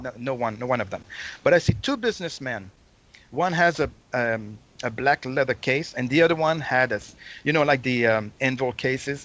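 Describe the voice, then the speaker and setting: In a Quebec accent, a man of medium pitch speaks at a moderate pace with ordinary pitch variation. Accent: Québécois French-accented English. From Quebec City, Canada. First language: French. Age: 50s. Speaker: Kiss fan and collector. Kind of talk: storytelling interview. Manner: halting.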